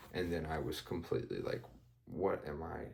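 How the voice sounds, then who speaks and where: At a moderate pace, a man is talking. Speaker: student vlogger. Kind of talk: casual vlog. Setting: at home, others asleep. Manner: hesitant, many fillers; higher pitched than usual.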